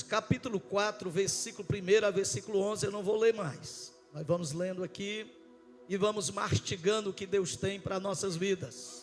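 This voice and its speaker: Music plays behind a man with a high voice and ordinary pitch variation. He speaks at a fairly slow pace. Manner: preaching, reading scripture.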